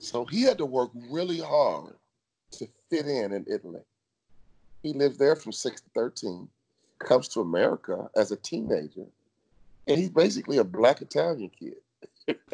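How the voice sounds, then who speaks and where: A man talks in an animated tone at a moderate pace, with long, frequent pauses and big swings in loudness, in a dry, close sound with no echo. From Chicago, US. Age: 50s. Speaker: motivational speaker, former pro basketball player. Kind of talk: interview.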